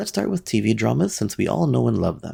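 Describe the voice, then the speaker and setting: The voice has a dark, mellow tone with vocal fry. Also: man. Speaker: podcast host. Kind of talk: solo podcast monologue.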